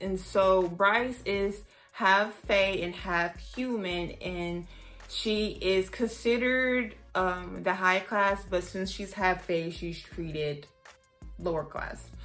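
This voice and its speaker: In an American accent, a woman speaks very slowly at medium pitch with ordinary pitch variation, and there is audible room echo. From US South, Houston, Texas. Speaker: book reviewer. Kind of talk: casual vlog review.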